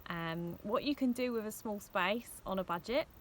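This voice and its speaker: A woman with an English accent speaks at a medium pitch, her pitch rising and falling in an ordinary way. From England, Hertfordshire (Hitchin). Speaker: vlogger, van traveller. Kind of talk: casual vlog talk to camera. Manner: hesitant fillers (um).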